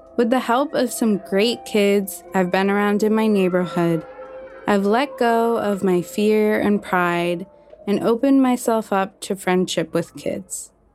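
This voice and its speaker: Against noticeable background noise, a woman at a medium pitch talks at a fairly slow pace, with ordinary pitch variation and very even loudness. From US Northeast (Maine). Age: 20s. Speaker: writer and climate communicator. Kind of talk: scripted narration.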